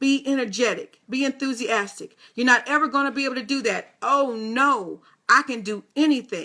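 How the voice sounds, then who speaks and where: A woman with a high pitch speaks in a raised, projected voice with an animated tone and a bright, sharp quality. Her pace is moderate, her pitch variation ordinary, and the recording very clean with a silent background. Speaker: motivational radio host. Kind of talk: motivational talk.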